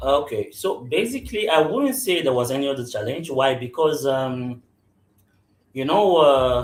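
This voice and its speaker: A man with a somewhat breathy voice at a fairly high pitch talks at a moderate pace with ordinary pitch variation. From anglophone Cameroon. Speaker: business executive. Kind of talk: interview. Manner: hesitant, many fillers and repetitions.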